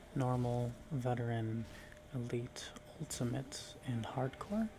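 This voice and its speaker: Soft-spoken and very slow, a man talks at medium pitch with fairly even intonation over noticeable background noise. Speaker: ASMR gaming content creator. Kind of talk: soft-spoken ASMR gameplay commentary.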